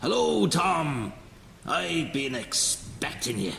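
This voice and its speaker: In a raspy, put-on character voice, the speaker shouts at a very slow pace with very wide pitch swings, over clear background noise and a slight echo. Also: man, medium pitch for a man. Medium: read story.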